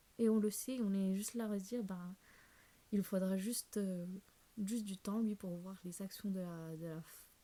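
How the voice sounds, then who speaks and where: Her voice sits at a medium pitch, dark and mellow and somewhat breathy, with fairly even intonation and long, frequent pauses. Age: 20s. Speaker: self-development YouTuber. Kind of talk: casual vlog talk. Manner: fast; hesitant, many fillers.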